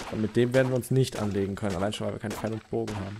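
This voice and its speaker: Over noticeable background noise, a man speaks at a very fast pace with fairly even intonation. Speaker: gaming video creator. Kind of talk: let's play commentary. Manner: hesitant, many fillers. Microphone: new mic without pop filter.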